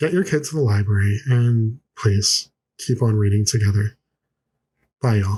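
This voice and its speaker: The man's somewhat breathy voice sits at a medium pitch with ordinary variation and moves at a fairly slow pace. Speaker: podcast host reviewing children's books; parent. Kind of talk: book review podcast talk. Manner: repetitive, some false starts.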